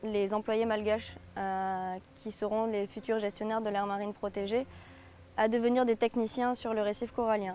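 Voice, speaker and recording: Over music in the background, a woman speaks at a fairly high pitch in a monotone, flat intonation. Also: moderate pace. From southern France. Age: 20s. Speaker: conservation volunteer. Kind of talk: interview testimony. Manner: hesitant, many fillers.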